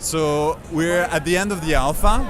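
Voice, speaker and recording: A man talks with lively intonation. There is audible room echo and noticeable background noise. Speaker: game developer. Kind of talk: interview. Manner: halting, many filler uhs.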